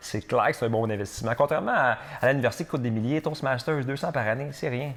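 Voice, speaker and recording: A man delivers his lines at a very fast pace in an animated, theatrical tone. His pitch is medium, with ordinary variation. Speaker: real estate broker and podcaster. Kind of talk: solo podcast talk with advice.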